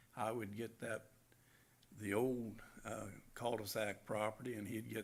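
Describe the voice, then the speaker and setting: A man speaks at a fairly slow pace in a fairly low voice, monotone and flat, with vocal fry. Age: 70s. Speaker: property owner speaking at public hearing. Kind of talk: public comment at council hearing. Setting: city council meeting. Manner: halting, many fillers.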